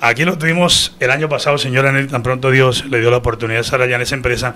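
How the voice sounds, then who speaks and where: A man speaks with a fairly high pitch and ordinary pitch variation. Noticeable background noise runs underneath. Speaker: radio news director and host. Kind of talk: radio news show. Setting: studio. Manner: animated.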